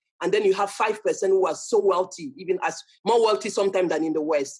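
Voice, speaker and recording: Someone with a strong French accent talks at a very fast pace. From Cameroon. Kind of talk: talk to an audience. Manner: halting, frequent self-repetition.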